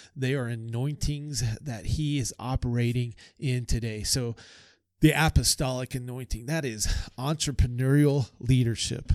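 A man uses a plain, everyday voice at a medium pitch and a moderate pace. His intonation is fairly even on a very clean recording with a silent background. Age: 40s. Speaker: pastor. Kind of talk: interview conversation.

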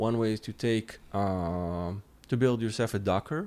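A man with an ordinary speaking voice, fairly low in pitch, at a fairly slow pace with ordinary pitch variation, in a very clean recording with a silent background. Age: 30s. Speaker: cybersecurity lead at a tech company. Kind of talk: technical podcast interview.

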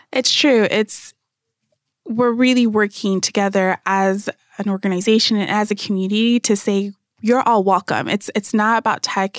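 Woman with a plain, everyday voice and an American accent, medium in pitch, fairly even in intonation, in a dry, close sound with no echo. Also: very clean recording, silent background. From Phoenix, Arizona (born in Nigeria). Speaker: event planner and marketer. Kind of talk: radio interview panel. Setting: radio studio.

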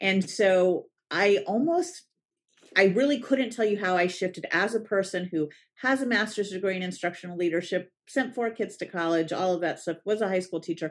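At a moderate pace, a woman with an American accent speaks at medium pitch with ordinary pitch variation on a very clean recording with a silent background. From Southern California, San Diego. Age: 50s. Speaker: parent coach for eating disorder families. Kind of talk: interview conversation.

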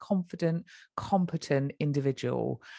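With a British accent, a woman speaks at a very deep, low pitch. The recording is dry and close, with no echo. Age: 40s. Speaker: mother sharing fertility journey. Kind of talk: podcast interview.

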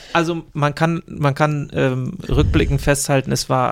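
A man with a fairly high pitch and fairly even intonation, speaking at a fairly slow pace amid noticeable background noise. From Eckernförde, northern Germany. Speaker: podcast co-host. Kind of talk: casual chat. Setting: studio, in person.

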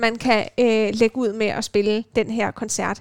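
A woman's fairly high, ordinary speaking voice at a fairly slow pace in a very clean recording with a silent background. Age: 20s. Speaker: radio host and violinist. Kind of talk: casual chat. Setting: student's room at a music dormitory.

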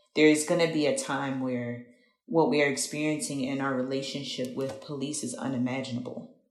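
There is audible room echo around a woman with an American accent. She talks at a moderate pace with ordinary pitch variation. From Philadelphia, US. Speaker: activist and community organizer. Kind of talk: interview.

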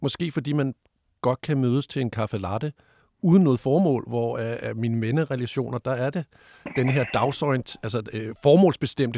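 Over a silent background in a very clean recording, a man speaks at medium pitch and a moderate pace with ordinary pitch variation. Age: 50s. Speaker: sexologist. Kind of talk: debate interview. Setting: studio. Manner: hesitant, many fillers.

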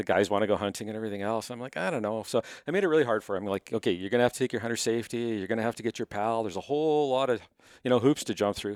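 A man with a Canadian accent shows ordinary pitch variation on a very clean recording with a silent background and a dry, close sound with no echo. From Manitoba, Canada (Winnipeg). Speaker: hunting TV host. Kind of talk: casual chat. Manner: loud.

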